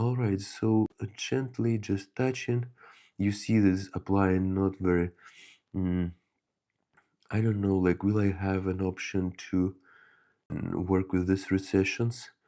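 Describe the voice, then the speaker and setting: A man's fairly low, dark, mellow voice at a very slow pace, with long, frequent pauses and fairly even intonation, over a very clean, silent background. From Ukraine. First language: Ukrainian or Russian. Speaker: miniature painting hobbyist streamer. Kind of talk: live-stream painting tutorial chat. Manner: halting, many fillers.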